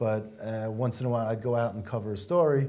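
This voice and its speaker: Dark and mellow in tone, this man's voice sits at medium pitch with an American accent. He keeps a moderate pace with fairly even intonation. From US Northeast. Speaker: talk show co-host. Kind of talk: interview. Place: studio. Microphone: lapel.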